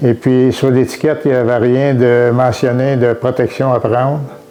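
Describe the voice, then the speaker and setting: A man with a Quebec accent talks at a moderate pace and a medium pitch. Noticeable background noise runs beneath him. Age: 70s. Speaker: retired farmer. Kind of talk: testimony. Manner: halting, many hesitations.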